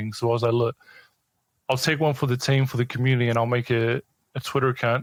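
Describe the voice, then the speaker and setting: At a very fast pace, a man with a New Zealand accent speaks at a medium pitch in a monotone, flat intonation. His loudness stays very even, and the sound is dry and close with no echo. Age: 30s. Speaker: esports news account runner. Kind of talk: podcast interview.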